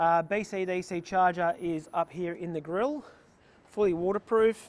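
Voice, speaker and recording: Speaking with an Australian accent, a man talks at a moderate pace in a high voice with ordinary pitch variation. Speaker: vehicle builder / workshop owner. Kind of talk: walkaround tutorial. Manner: casual with fillers.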